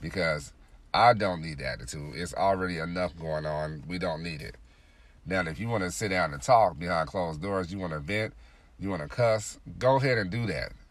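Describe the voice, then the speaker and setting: Audible room echo fills the recording. The intonation is lively. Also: man, very deep, low pitch for a man, moderate pace. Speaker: podcast host. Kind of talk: solo monologue podcast. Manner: frequent filler words.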